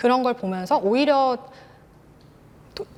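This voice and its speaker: A woman's fairly high-pitched voice. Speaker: independent bookstore owner and writer. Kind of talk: presentation with Q&A. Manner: halting.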